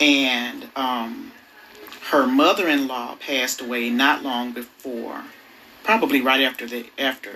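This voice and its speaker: Woman with a very deep, low voice and ordinary pitch variation, fairly slow with long, frequent pauses, amid noticeable background noise. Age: 40s. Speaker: mother interviewed as guest. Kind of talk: casual chat.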